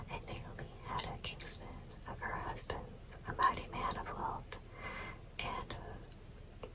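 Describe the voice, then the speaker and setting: Someone whispers at a very slow pace, with noticeable background noise behind them. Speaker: ASMR creator. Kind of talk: scripture reading. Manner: whispered, soft; slow, calm.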